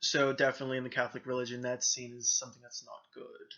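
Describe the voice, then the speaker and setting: With an American accent, the speaker moves at a fairly quick pace. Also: man. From US South, Florida. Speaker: vlogger. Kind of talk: personal testimony vlog. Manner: hesitant, many filler ums. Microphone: poor camera quality.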